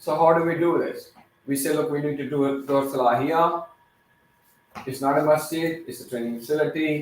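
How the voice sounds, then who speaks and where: In a non-native accent, a man speaks at a moderate pace with audible room echo. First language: not English. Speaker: teacher / youth workshop leader. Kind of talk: interactive talk to children. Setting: training facility, live-streamed. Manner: halting, with fillers.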